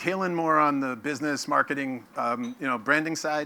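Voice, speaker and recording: The recording is very clean, with a silent background. A man with a New York accent speaks at a fairly high pitch, his tone bright and sharp, with ordinary pitch variation. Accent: New York American. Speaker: company CEO giving keynote. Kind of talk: conference keynote. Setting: stage with audience. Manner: fast.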